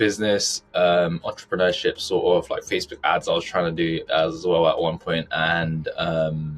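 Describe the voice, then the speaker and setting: A man speaks in a British accent at a moderate pace. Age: 20s. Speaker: personal finance content creator. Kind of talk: podcast interview.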